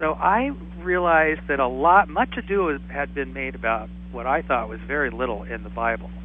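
A man with a General American accent speaks at a moderate pace. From Southern California (Whittier). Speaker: author and AIDS survivor. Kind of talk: interview. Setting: phone call.

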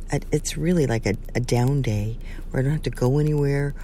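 A woman speaks in a dark, mellow tone. Audible room echo surrounds her voice. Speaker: bishop and wedding officiant. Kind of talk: casual vlog talk with prayer. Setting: outdoors by a river. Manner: hesitant with fillers.

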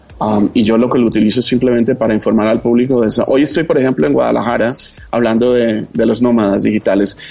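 Delivered at a very fast pace, the speech keeps fairly even intonation and very even loudness over noticeable background noise. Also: man, medium pitch for a man. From Colombia, Bogotá. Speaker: TV entertainment journalist. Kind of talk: casual interview chat.

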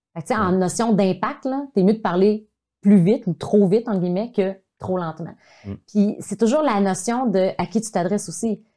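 Dark and mellow in tone, a woman speaks at medium pitch and a moderate pace with ordinary pitch variation. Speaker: video communication coach. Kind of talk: casual chat. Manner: animated.

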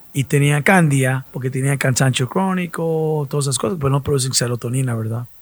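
A man with a normal speaking voice talks at a fairly quick pace with hardly any pauses, his fairly high pitch moving with ordinary variation. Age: 60s. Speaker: medical doctor. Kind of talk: casual chat.

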